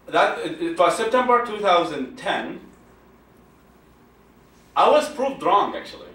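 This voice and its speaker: A man with high pitch and very wide pitch swings at a fairly slow pace, with long, frequent pauses and noticeable background noise. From Iraq. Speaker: secular activist, founder. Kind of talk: public talk.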